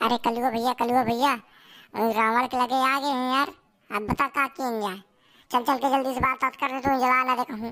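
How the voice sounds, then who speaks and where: A woman's put-on character voice, high-pitched and monotone with flat intonation, at a fairly quick pace on a very clean recording with a silent background. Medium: voice reel. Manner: loud, rustic.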